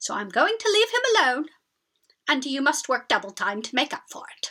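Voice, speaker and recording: A woman puts on a character voice, pitched high with very wide pitch swings, at a moderate pace. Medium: read story.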